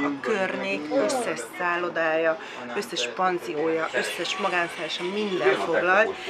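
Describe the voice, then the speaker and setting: Over crowd noise and audible room echo, a woman with a fairly low pitch speaks at a fairly slow pace, her pitch swinging very widely. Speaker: family vlogger. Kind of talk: casual vlog talk.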